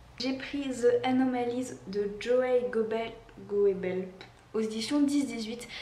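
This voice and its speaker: A woman's fairly even intonation amid noticeable background noise and audible room echo. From Réunion. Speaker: book YouTuber. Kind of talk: casual vlog monologue. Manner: hesitant, many fillers.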